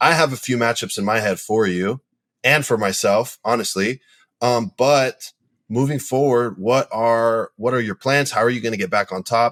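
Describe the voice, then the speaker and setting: On a very clean recording with a silent background and a dry, close sound with no echo, a man talks in an unremarkable speaking voice at medium pitch, moderate pace and ordinary pitch variation. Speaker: jiu-jitsu athlete and podcast co-host. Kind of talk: casual chat.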